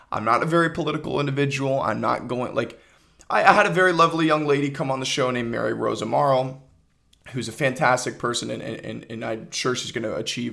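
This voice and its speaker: Speaking fairly quickly, a man uses a medium pitch with ordinary pitch variation. His bright, sharp tone carries some vocal fry. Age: 20s. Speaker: podcast host and aspiring filmmaker. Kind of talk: solo casual monologue. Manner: casual, with frequent fillers and repetitions.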